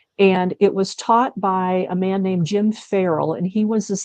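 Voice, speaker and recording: A woman speaks in a dark, mellow tone with an Upper Midwest accent. The sound is dry and close with no echo, over a quiet background. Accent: Upper Midwest American. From US Midwest, Wisconsin. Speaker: leadership consultant. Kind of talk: interview.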